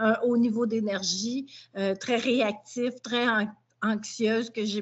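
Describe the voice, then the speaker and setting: Speaking with a Quebec accent, a woman uses a fairly high, somewhat breathy voice in a monotone, flat intonation. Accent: Québécois French. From Quebec, Montreal. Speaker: dog behaviour trainer. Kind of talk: testimony.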